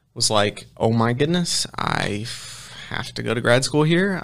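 A man with an ordinary speaking voice talks at a medium pitch and moderate pace with ordinary pitch variation in a very clean recording with a silent background. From Ohio. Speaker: running coach and sport nutritionist. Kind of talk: casual interview chat. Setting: in studio with host.

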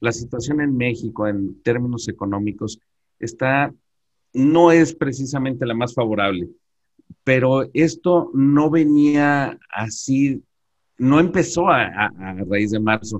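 Medium-pitched male voice at a very slow pace, with ordinary pitch variation. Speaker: tax and accounting expert. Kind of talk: webinar presentation. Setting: video call. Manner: halting.

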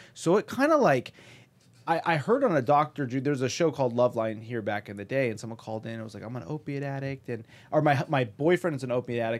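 With an American accent, a man talks at a very fast pace in an animated tone, his medium pitch showing ordinary variation while his loudness swings widely. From US West Coast, Pasadena, California. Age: 40s. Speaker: stand-up comedian. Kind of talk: casual chat. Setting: studio.

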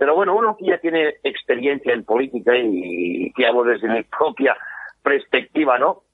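A man's fairly high voice shows very wide pitch swings. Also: moderate pace. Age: 50s. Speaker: politician. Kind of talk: interview. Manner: halting.

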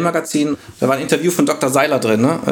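A man speaks over noticeable background noise. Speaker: data science team lead. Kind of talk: podcast interview. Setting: video call.

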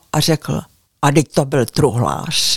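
A voice with vocal fry, recorded dry and close with no echo. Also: woman. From Prague, Czechia. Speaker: local historian and author. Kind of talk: interview. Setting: at her home in the village.

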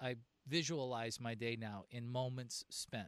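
Recorded with a dry, close sound and no echo, a man uses a normal speaking voice. He talks at a fairly slow pace with a medium pitch. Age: 50s. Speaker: business coach and podcast host. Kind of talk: casual interview. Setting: outdoors on a back deck.

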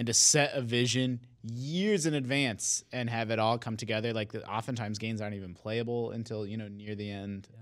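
In a plain, everyday voice of medium pitch, a man talks at a fairly quick pace with fairly even intonation and hardly any pauses. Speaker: video game journalist. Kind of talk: casual chat.

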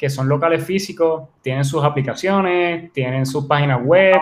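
In an ordinary speaking voice, a man talks at a moderate pace with a fairly high pitch and ordinary pitch variation. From Puerto Rico, Ponce. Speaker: entrepreneur and writer. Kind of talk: interview.

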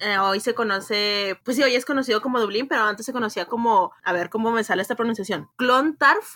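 Her tone is bright and sharp, with a fairly high pitch and ordinary pitch variation. This woman talks at a fairly quick pace with hardly any pauses. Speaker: literature podcast co-host. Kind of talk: casual chat.

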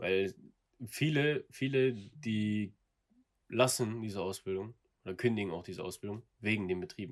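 The speaker keeps a moderate pace but leaves long, frequent pauses. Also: man, fairly low pitch for a man, ordinary pitch variation. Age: 20s. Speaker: apprentice plumbing and heating technician. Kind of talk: casual interview.

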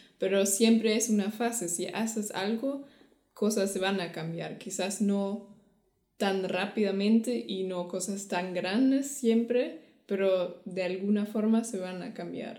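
A woman with a German accent at medium pitch and a very slow pace, with ordinary pitch variation and audible room echo. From Germany. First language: German (speaking Spanish). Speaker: podcast co-host. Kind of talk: casual chat.

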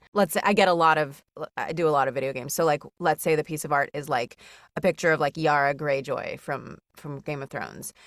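A woman's very deep, low voice with fairly even intonation at a fairly quick pace, dry and close with no echo in a very clean recording with a silent background. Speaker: voice actor. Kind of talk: casual chat. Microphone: professional equipment.

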